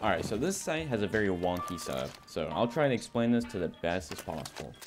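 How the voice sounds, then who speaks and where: Noticeable background noise behind a man with a fairly low pitch. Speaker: gaming youtuber. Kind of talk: tutorial. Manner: casual, filler-heavy.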